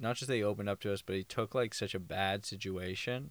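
An unremarkable speaking voice from a man, fairly low and fairly even in intonation, at a fairly quick pace on a very clean recording with a silent background. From Thornhill, outside Toronto. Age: 20s. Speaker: podcast co-host. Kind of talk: casual chat. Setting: home basement.

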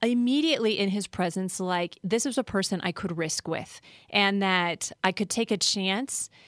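A woman with an American accent and a plain, everyday voice talks at a fairly slow pace with lively intonation, the sound dry and close with no echo on a very clean recording with a silent background. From Colorado, US. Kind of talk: casual chat.

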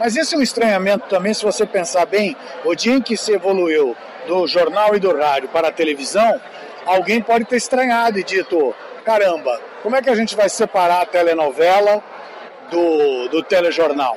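Noticeable background noise sits under a man with a high pitch and lively intonation. His loudness is very even and his pace is moderate. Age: old. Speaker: veteran TV journalist. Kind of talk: interview.

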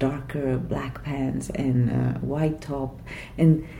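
A woman with a Quebec accent, a very deep, low pitch and a very slow pace, against noticeable background noise. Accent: Québécois French-accented English. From Vietnam (Saigon), then Quebec from age 10. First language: Vietnamese / French. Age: 50s. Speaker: writer. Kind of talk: interview conversation. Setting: writers' festival venue.

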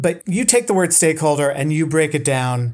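On a very clean recording with a silent background, a man with an ordinary speaking voice talks at a fairly quick pace, fairly high in pitch with ordinary pitch variation. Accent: American. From Boston suburbs, Massachusetts. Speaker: podcast host. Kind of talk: interview. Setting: home studio, bedroom.

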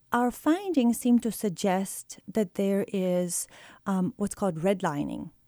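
A woman with a Bulgarian accent speaks very slowly in a medium pitch with ordinary pitch variation and a dark, mellow tone, in a dry, close sound with no echo on a very clean recording with a silent background. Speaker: economics professor. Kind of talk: interview.

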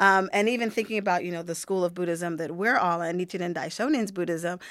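On a very clean recording with a silent background, a woman with an American accent talks in an ordinary speaking voice at medium pitch with ordinary pitch variation. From Pittsburgh, Pennsylvania. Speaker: Buddhist practitioner, discussion guest. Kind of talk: casual discussion.

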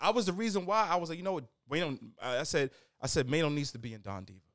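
On a very clean recording with a silent background, a man speaks at a very fast pace in a fairly high pitch with very wide pitch swings. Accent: New York. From New York, Queens. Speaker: music journalist and tastemaker. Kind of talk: casual chat turning into heated debate.

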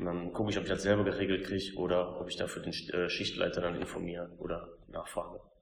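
Audible room echo surrounds a man speaking in a monotone with flat intonation. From Lower Rhine, Germany (Kamp-Lintfort). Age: 30s. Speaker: assembly worker and team spokesperson. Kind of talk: interview.

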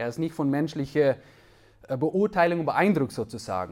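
A man with a fairly high voice talks at a fairly slow pace. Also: very clean recording, silent background. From Netherlands. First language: Dutch (speaking German). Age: 30s. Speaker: preacher. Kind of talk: sermon. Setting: church.

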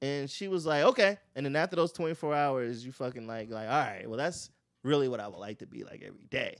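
With lively intonation and big swings in loudness, a man with an American accent talks at a fairly quick pace in a fairly high pitch, recorded very cleanly over a silent background. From Florida. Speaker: stand-up comedian. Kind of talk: casual chat. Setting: studio. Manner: animated.

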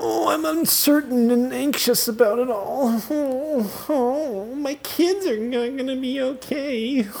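Over clear background noise, a put-on character voice speaks at a fairly high pitch and a fairly slow pace. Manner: mocking, whiny.

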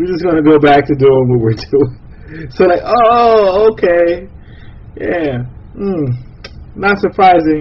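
Over noticeable background noise, a man with a fairly high pitch speaks at a very slow pace. His intonation is lively. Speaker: podcast host. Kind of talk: casual chat.

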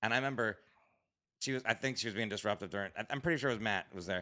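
A man speaks with an American accent in a bright, sharp tone. The recording is very clean, with a silent background. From Florida. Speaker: stand-up comedian. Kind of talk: casual chat. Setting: studio.

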